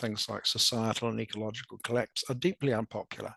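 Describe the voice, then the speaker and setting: Against a quiet background, a man with a strong New Zealand accent talks fairly quickly at a medium pitch, in a dry, close sound with no echo. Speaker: academic presenter. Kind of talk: presentation. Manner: halting, many repetitions.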